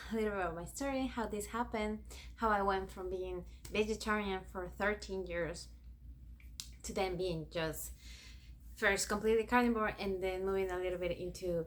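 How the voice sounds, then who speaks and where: A woman speaks with a Spanish accent at a moderate pace. Room echo is audible. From Ecuador. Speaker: YouTuber. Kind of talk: personal vlog storytelling.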